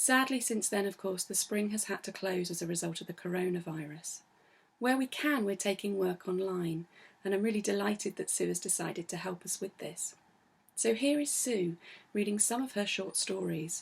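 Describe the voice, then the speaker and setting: In a very clean recording with a silent background, a woman talks at a moderate pace in a somewhat breathy voice, her pitch medium with ordinary variation. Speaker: arts centre director. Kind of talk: event introduction.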